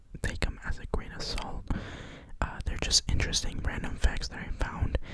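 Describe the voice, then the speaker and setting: Someone whispers over noticeable background noise. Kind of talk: ASMR soft-spoken fact reading; casual talk to camera. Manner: soft-spoken.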